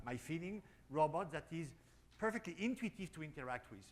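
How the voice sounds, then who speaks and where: With a French accent, a man talks at a fairly quick pace, fairly high in pitch, with lively intonation. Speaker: robotics company founder. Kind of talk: panel discussion. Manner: halting.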